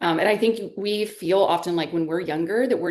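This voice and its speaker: A woman with a normal speaking voice, ordinary pitch variation and a fairly quick pace. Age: 50s. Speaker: podcast host. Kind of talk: podcast interview.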